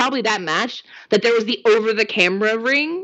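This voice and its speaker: Speaking with lively intonation, a woman uses a plain, everyday voice pitched fairly high. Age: 30s. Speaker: wrestling fan guest. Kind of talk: casual chat.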